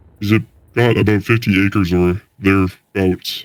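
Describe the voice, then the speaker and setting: A man's put-on character voice, resonant and fairly low, with monotone, flat intonation. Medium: read story. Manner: slow, lilting storyteller cadence.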